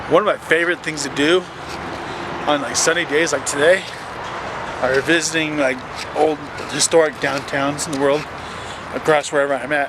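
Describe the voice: A man's fairly even intonation, long and frequent pauses, and clear background noise. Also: fairly high pitch for a man, moderate pace.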